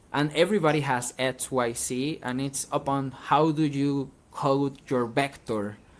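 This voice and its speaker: Fairly even intonation from a man with a fairly high pitch and a Venezuelan accent. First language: Spanish. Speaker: independent musician. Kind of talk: interview. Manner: halting, with repeated false starts.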